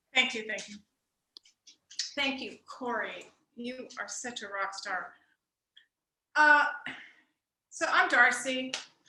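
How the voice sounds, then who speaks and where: A woman's high, bright, sharp voice at a very slow pace, with ordinary pitch variation, long, frequent pauses and audible room echo. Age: 60s. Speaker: stand-up comedy student. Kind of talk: stand-up. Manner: animated.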